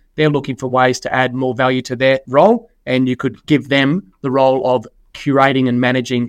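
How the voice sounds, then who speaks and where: Speaking with an Australian accent, a man has a medium pitch and fairly even intonation. The sound is dry and close, with no echo. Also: hardly any pauses. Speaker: financial services executive. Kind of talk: podcast interview.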